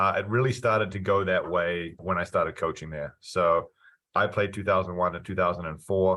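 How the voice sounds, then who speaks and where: Speaking at a moderate pace, a man with a very deep, low voice keeps his intonation fairly even. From New Zealand. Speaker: college soccer coach. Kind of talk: interview.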